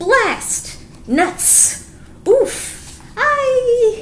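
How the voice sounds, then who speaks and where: Shouting in a put-on character voice at an extremely high pitch, with clear background noise. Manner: shouting, frustrated.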